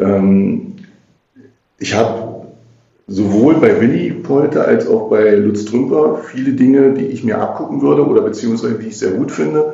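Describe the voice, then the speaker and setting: A man talks at a moderate pace, with audible room echo. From Magdeburg, eastern Germany (Saxony-Anhalt). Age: 50s. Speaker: politician, mayoral candidate and city councillor. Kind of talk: podcast interview. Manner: hesitant, many filler sounds.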